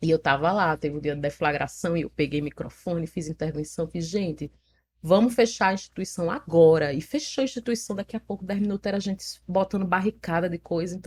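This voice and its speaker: Somewhat breathy and fairly low-pitched, a woman speaks with ordinary pitch variation in a dry, close sound with no echo. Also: fairly quick pace. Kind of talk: recounting a story.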